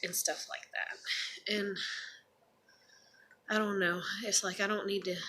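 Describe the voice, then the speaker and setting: A woman speaks in a monotone, flat voice, leaving long, frequent pauses. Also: medium pitch for a woman. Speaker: vlogger. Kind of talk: casual monologue vlog. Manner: rambling with many fillers. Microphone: may be too quiet.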